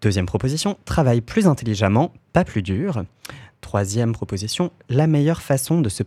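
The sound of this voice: An unforced reading voice delivers the words with lively intonation.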